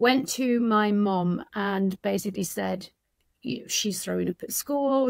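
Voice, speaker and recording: A woman speaks with a northern English accent. The sound is dry and close, with no echo. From northern England. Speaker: addiction recovery coach. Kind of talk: podcast interview.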